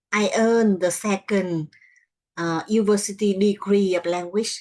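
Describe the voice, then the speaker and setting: Her voice sits at a medium pitch. This woman's pitch rises and falls normally. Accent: Vietnamese. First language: Vietnamese. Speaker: English learner. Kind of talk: language lesson answers. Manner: halting.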